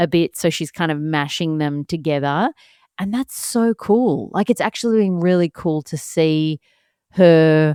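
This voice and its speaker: A woman's fairly low voice, calm and relaxed with a dark, mellow tone and ordinary pitch variation, dry and close with no echo on a very clean recording with a silent background. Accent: Australian. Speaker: podcast host, solo mum. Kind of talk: casual podcast talk. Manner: calm, relaxed.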